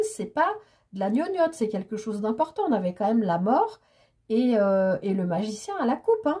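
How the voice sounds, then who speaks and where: Her pitch is fairly high for a woman. She speaks at a moderate pace. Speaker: tarot card reader. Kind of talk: tarot reading monologue. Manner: animated, hesitant with fillers.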